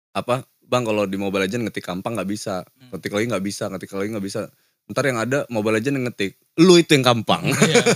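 A man talks at a very fast pace with hardly any pauses and ordinary pitch variation, the sound dry with no echo and the background quiet. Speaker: podcast host. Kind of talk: casual chat. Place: studio. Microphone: studio mic.

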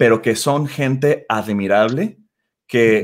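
A man talks very slowly with a quiet background behind him. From Mexico, Guadalajara; Jalisco, Mexico. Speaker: startup CEO. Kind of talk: interview. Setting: video call.

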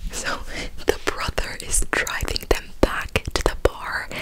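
Noticeable background noise runs behind a woman who whispers very slowly. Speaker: ASMR creator. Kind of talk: ASMR whisper ramble telling a personal story. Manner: cupped whisper, soft, close-up.

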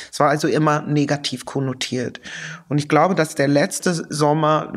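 A woman with an English accent speaks at a very deep, low pitch on a very clean recording with a silent background. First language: English (speaking German). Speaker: sociologist and activist, author. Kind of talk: interview. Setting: studio-like room in an office.

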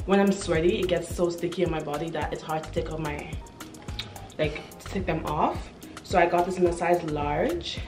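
Over clear background music, a woman talks at a moderate pace in a fairly low, monotone voice with flat intonation. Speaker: style vlogger. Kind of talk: casual haul review chat. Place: home room. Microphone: camera far.

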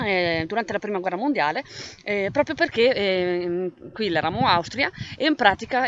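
Over light background noise, a woman speaks at a moderate pace in a dry sound with no echo. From Val di Sole, Trentino, Italy. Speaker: writer. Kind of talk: casual talk to camera presenting own book. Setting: outdoors, windy. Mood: calm, reflective. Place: open country. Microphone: phone near.

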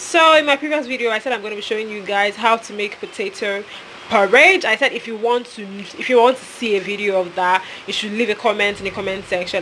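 A woman with a Nigerian accent, fairly high pitch, ordinary pitch variation and a fairly quick pace over light background noise. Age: 20s. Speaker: voice-over artist. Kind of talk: casual cooking vlog to camera. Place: kitchen. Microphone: phone near.

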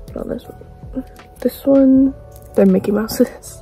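A woman at a fairly slow pace, the sound dry with no echo, faint music behind her. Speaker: vlogger. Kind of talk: casual vlog chat. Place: home room. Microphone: phone near.

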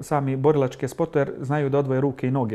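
With a dark, mellow tone, a man speaks at a fairly high pitch. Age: 40s. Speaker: MMA fighter and club coach; club coach. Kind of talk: TV interview. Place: studio. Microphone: lapel.

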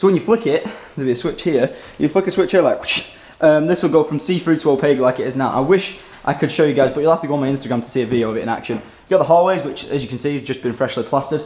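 The speaker is a man going at a very fast pace. The variation in his pitch is ordinary. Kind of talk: casual vlog chat. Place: home room. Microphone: camera far.

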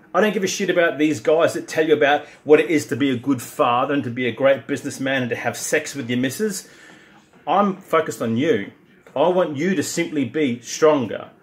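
A man's fairly quick delivery in an Australian accent with ordinary pitch variation. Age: 50s. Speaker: strength and conditioning coach; conditioning coach. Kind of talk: direct-to-camera pitch. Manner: animated. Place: gym. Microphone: phone near.

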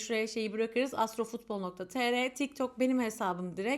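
A woman with a high pitch speaks in an animated tone at a moderate pace, her pitch varying in an ordinary way. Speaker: astrologer. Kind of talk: casual chat. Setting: self-recorded video.

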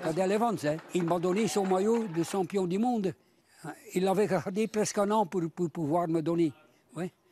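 With high pitch and very even loudness, a man speaks at a fairly slow pace in a dry sound with no echo over light background noise. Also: ordinary pitch variation. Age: 80s+. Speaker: cycling fan, former amateur racer. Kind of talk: interview. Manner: halting, repeats words. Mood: warm, proud.

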